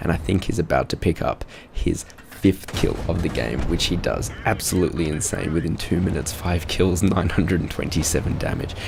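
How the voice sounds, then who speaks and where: Quietly and at a fairly quick pace, a man with an Australian accent speaks at a very deep, low pitch with ordinary pitch variation, amid noticeable background noise. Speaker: gaming video reviewer. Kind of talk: game review commentary. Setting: at home, others asleep. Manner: speaking quietly.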